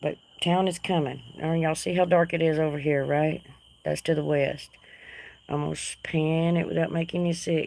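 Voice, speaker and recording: With a Texas accent, a woman speaks in a very deep, low pitch with a dark, mellow tone. Her delivery is monotone and flat at a moderate pace. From North Texas. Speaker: livestream host. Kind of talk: casual chat. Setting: outdoors.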